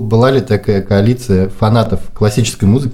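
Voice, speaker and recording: Here a man talks at a fairly quick pace. His fairly low voice is dark, mellow and somewhat breathy. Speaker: podcast host, marketer. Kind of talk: casual chat. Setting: apartment. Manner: quiet.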